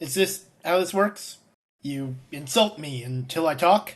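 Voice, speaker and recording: A man's put-on character voice, fairly high-pitched and fairly slow, with lively intonation and big swings in loudness. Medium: audio drama.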